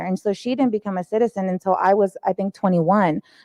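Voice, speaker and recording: A woman's dark, mellow, medium-pitched voice with fairly even intonation, in a dry, close sound with no echo. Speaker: healthcare director, panelist. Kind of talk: panel discussion.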